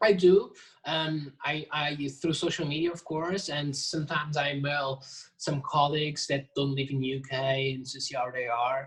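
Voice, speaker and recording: This man speaks with a non-native accent at a moderate pace. His pitch is fairly high, and his intonation stays fairly even. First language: not English. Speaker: jazz drummer and percussionist. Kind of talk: casual interview. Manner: halting, many restarts.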